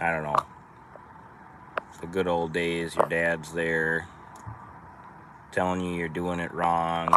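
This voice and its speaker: A man with a very deep, low voice and a strong Minnesotan accent speaks very slowly in a flat monotone, with long, frequent pauses over noticeable background noise. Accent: thick Minnesota. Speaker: trucking business owner. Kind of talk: casual live stream chat. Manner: casual, rambling with hesitations.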